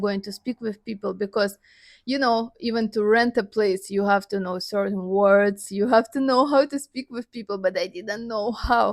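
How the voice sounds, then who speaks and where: This woman, in a Russian accent, speaks at a moderate pace with a medium pitch and fairly even intonation. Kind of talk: casual talk to camera.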